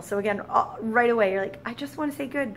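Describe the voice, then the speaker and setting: A woman talks at a very fast pace over light background noise. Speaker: French teacher. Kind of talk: tutorial. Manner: casual, with many fillers. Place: classroom. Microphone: camera far.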